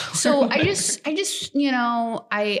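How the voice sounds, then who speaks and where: A woman with a slight Canadian accent and very wide pitch swings. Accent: slightly Canadian-sounding. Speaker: podcast co-host. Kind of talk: casual chat. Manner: halting, many fillers and restarts.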